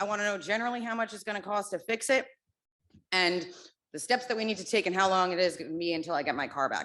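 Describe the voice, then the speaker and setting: A loud woman with an American accent at a very fast pace, bright and sharp in tone, medium in pitch, with lively intonation. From New Jersey. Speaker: parent at public comment. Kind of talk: public comment at school board meeting.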